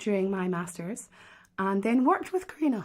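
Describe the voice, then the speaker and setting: A woman with a Scottish accent speaks at a medium pitch, her voice somewhat breathy. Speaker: harpist and online harp teacher. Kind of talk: live stream hosting and interview. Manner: animated, enthusiastic.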